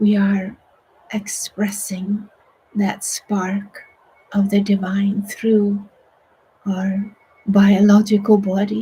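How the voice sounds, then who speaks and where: Very slowly and with long, frequent pauses, a woman speaks at medium pitch in a somewhat breathy, dark, mellow voice with monotone, flat intonation. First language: Swedish. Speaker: meditation teacher. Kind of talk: guided meditation. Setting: online broadcast.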